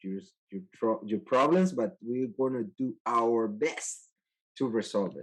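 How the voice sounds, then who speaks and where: A man with a Spanish accent at medium pitch and a fairly slow pace, over a quiet background. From El Salvador. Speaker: IT manager. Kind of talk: interview. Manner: halting.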